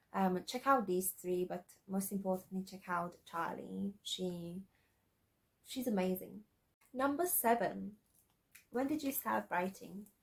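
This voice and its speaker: A woman's somewhat breathy voice with lively intonation and long, frequent pauses. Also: medium pitch for a woman, fairly slow pace. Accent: slight non-native. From Slovakia. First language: Slovak. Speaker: aspiring author, YouTuber. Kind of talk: casual vlog. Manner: halting, many fillers and repeats.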